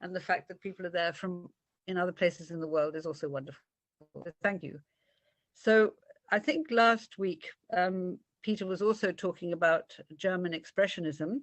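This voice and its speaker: A woman with a British accent speaks at a moderate pace and a medium pitch, her pitch varying in an ordinary way while her loudness swings widely and long pauses come often. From Britain. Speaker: art lecturer. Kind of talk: illustrated art talk. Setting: video call. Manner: animated.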